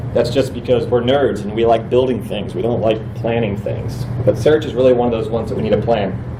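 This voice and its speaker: A man at a fairly quick pace with hardly any pauses, medium pitch and monotone, flat intonation, amid noticeable background noise and audible room echo. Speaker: conference presenter, web developer. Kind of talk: conference talk. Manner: fast.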